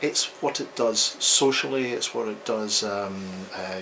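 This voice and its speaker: With a Scottish accent, a man talks at a fairly slow pace and fairly low pitch amid audible room echo and noticeable background noise. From Scotland. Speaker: psychologist. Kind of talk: interview. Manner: hesitant, frequent ums.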